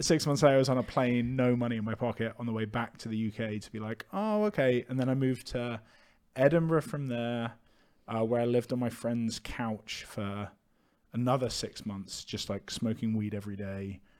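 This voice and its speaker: Speaking with a British accent, a man keeps a medium pitch, fairly even intonation and a moderate pace. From UK. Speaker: entrepreneur, clothing merchandise founder. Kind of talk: casual chat.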